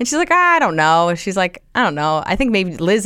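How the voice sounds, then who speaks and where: In an American accent, a woman with a fairly low pitch talks at a very fast pace. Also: very clean recording, silent background. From US Northeast, Central New Jersey. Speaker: comedian. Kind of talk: casual chat.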